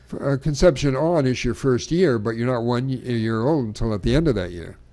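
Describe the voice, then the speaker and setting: With a plain, everyday voice, a man talks at a fairly quick pace, his medium pitch showing ordinary pitch variation. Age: 60s. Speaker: poet. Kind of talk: casual chat.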